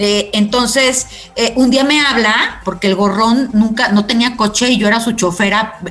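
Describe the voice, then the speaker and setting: A woman with a Mexican accent, an animated tone and a fairly high pitch at a moderate pace, over noticeable background noise. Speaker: radio host. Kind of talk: casual interview.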